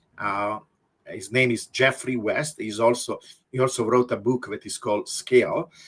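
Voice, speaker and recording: Male speaker with an Italian accent, moderate pace and ordinary pitch variation. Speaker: researcher. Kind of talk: interview.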